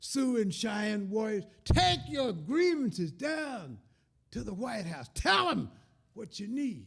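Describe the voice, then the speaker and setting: A man with a Southern US accent speaks at a fairly slow pace in an animated tone, with a high pitch and very wide pitch swings. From Kentucky. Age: 70s. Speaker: folk musician and storyteller. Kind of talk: storytelling at a concert.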